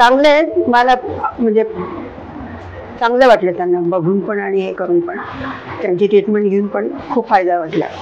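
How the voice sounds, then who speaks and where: A woman's medium-pitched voice rises and falls with lively intonation amid noticeable background noise. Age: 80s+. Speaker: patient. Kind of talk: testimony.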